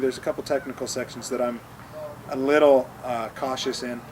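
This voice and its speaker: Against noticeable background noise, a man speaks quite quickly at a fairly high pitch with monotone, flat intonation. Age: 30s. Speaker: pro mountain bike racer. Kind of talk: interview. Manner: halting, many repeated words.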